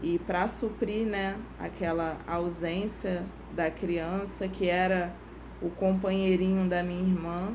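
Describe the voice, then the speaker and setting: With audible room echo, a woman talks very slowly at a fairly low pitch in a monotone, flat intonation. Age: 30s. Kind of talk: testimony.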